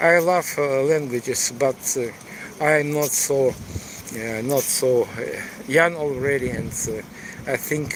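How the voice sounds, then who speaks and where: Against noticeable background noise, a man speaks very slowly at a medium pitch with ordinary pitch variation. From eastern Ukraine, Donetsk. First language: Russian or Ukrainian. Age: 60s. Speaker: tour guide and live streamer. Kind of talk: live stream walking tour. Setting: outdoors in city. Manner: halting, many fillers.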